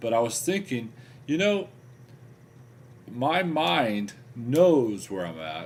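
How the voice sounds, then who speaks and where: A man of medium pitch talks at a very slow pace, with long, frequent pauses and big swings in loudness. His pitch swings very widely, and there's audible room echo. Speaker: weight-loss video blogger. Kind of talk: video diary.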